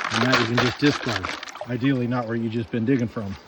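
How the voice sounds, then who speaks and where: Noticeable noise fills the background while someone speaks at a moderate pace. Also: man. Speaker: gold prospecting vlogger. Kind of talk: outdoor tutorial vlog.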